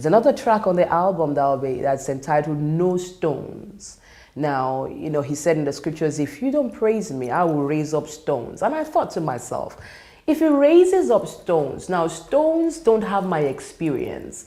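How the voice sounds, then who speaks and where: A woman with a Nigerian accent, fairly low pitch, a dark, mellow tone and lively intonation, with audible room echo. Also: moderate pace. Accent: Nigerian (Yoruba) English. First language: Yoruba. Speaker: worship leader. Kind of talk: monologue interview.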